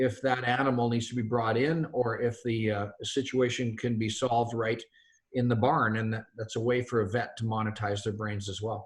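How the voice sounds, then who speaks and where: A man's voice, medium in pitch, comes across somewhat breathy. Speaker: company founder. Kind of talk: webinar presentation. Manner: fast.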